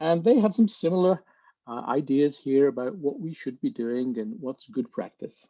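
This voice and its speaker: Using very wide pitch swings, a man with a fairly high voice speaks in a British accent. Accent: British accent, noticeable. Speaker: speech-language therapist, webinar panelist. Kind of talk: webinar presentation. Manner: measured, with filler words.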